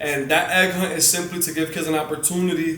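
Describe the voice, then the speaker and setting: Delivered in an animated tone at a moderate pace, the speech carries audible room echo and noticeable background noise. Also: man. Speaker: motivational speaker and community organizer. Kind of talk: interview.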